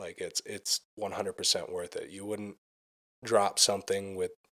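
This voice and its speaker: The recording is very clean, and the background is silent. In it, a man talks with an American accent. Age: 20s. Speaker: musician. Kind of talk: casual chat.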